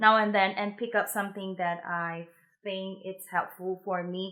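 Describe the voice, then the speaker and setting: A woman speaks with a Mandarin accent in a bright, sharp tone. The recording is very clean, with a silent background. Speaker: musician giving practice tips. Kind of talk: tutorial. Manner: casual, hesitant with fillers.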